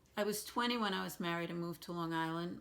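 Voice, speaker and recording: A woman with a Brooklyn accent, fairly low in pitch and at a fairly quick pace, on a very clean recording with a silent background. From New York City, Brooklyn. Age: 60s. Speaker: oral history interviewee. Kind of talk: oral history interview.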